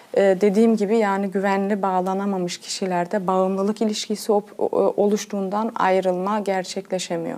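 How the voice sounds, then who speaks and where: A woman speaks at medium pitch and a moderate pace. Her intonation is monotone and flat, and her loudness stays very even. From Germany. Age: 30s. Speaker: pedagogue. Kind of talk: TV interview. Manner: hesitant, many fillers.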